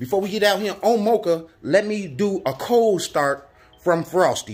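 The speech moves at a moderate pace. Its intonation stays lively. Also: man. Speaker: motorbike vlogger. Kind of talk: casual vlog chat. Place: garage. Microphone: phone near.

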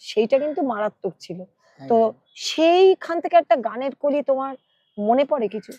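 With a dark, mellow tone and high pitch, a woman speaks with lively intonation and big swings in loudness, in a dry, close sound with no echo. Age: 60s. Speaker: talk show host, former radio broadcaster. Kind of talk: casual chat about music. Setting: outdoors by a lake.

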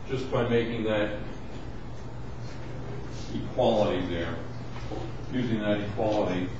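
Speech comes at a fairly slow pace over noticeable background noise, with strong echo from the room. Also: man. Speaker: university lecturer. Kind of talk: lecture. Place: classroom. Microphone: camera far.

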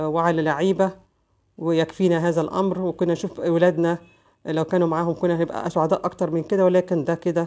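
A woman with an Egyptian accent speaks at a fairly quick pace. Her voice is fairly low, dark and mellow, with monotone, flat intonation. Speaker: lawyer and news commentary vlogger. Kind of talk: casual news commentary monologue.

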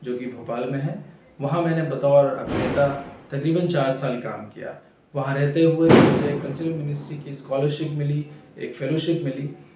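A man with a fairly high pitch speaks at a fairly slow pace, with audible room echo and light background noise. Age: 30s. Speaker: actor. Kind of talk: self-introduction. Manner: halting. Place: home room. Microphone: camera far.

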